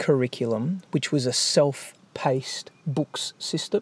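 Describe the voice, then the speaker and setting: A man with an Australian accent, fairly high pitch and ordinary pitch variation, in a very clean recording with a silent background and a dry, close sound free of echo. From Australia, Melbourne. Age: 40s. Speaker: entrepreneur. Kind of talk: casual interview.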